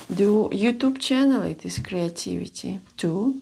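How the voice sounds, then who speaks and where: A woman with a Russian accent speaks at a very slow pace. Her pitch varies in an ordinary way. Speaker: seamstress. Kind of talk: sewing vlog. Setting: home sewing room. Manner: halting. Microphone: new microphone.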